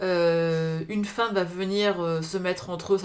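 A woman talks at a fairly low pitch. Noticeable background noise is present. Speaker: podcast co-host. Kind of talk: casual chat. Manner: animated.

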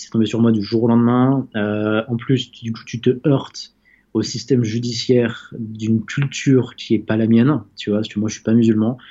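Delivered at a moderate pace, the speech stays monotone and flat. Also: man, medium pitch for a man. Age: 20s. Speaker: entrepreneur. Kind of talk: interview. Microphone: connection dropped.

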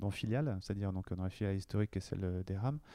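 With a dark, mellow tone, a man talks using ordinary pitch variation. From western France, Cholet (Maine-et-Loire). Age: 40s. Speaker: marketing director. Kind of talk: interview. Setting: company office. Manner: halting, many fillers and repetitions.

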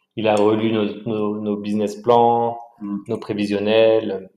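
Audible room echo surrounds a man whose fairly low voice stays flat and monotone. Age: 30s. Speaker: entrepreneur. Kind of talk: casual interview. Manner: halting, repeats words.

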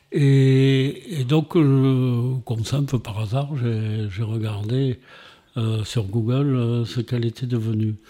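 A man speaks very slowly in a dark, mellow tone. His intonation stays fairly even. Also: medium pitch for a man. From Montpellier, southern France. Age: 70s. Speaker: retired former mayor. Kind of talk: interview. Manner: halting.

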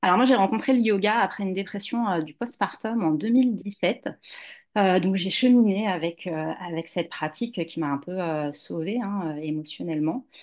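Against a quiet background, a woman speaks in a normal speaking voice at medium pitch and a moderate pace, her intonation lively. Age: 40s. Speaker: yoga teacher and doula. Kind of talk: interview testimony.

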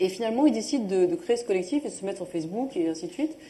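A woman talking at a very fast pace, lively in intonation, over noticeable background noise. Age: 40s. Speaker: entrepreneur and sustainability NGO founder. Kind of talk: live panel interview.

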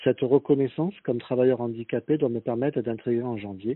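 Delivered at a fairly quick pace, an ordinary speaking voice keeps its intonation fairly even. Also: man. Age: 50s. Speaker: laid-off job seeker. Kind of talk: recorded testimony.

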